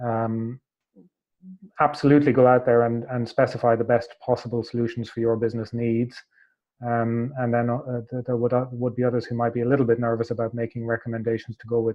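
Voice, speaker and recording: A man with an Irish accent, a medium pitch, monotone, flat intonation and a fairly quick pace. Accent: Irish, held onto. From Ireland. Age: 40s. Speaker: hotel tech company executive. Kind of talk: webinar panel discussion. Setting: online webinar. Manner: halting, many fillers.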